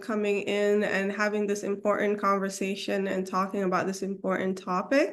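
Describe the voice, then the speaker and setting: A woman with a Somali accent speaks at a moderate pace in a monotone, flat intonation, with audible room echo. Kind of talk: presentation on video call. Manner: hesitant, many fillers.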